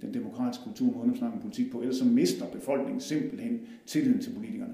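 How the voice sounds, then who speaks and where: A man at a very fast pace, with audible room echo and noticeable background noise. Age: 40s. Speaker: politician. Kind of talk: personal introduction. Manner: halting, many fillers.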